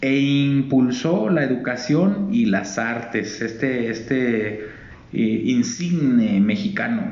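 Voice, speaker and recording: At a very slow pace, a man with a fairly high pitch swings very widely in pitch, over audible room echo and noticeable background noise. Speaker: radio co-host. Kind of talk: casual chat. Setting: live broadcast from a library.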